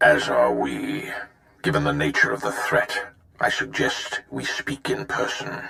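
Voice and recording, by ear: This put-on character voice has a bright, sharp tone edged with vocal fry. Its pitch swings very widely, and the pace is fairly slow. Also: man, extremely low pitch for a man.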